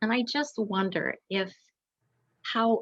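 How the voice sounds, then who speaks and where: The voice is a woman's, somewhat breathy. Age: 60s. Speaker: audience member asking a question. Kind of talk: Q&A question at author event. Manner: halting.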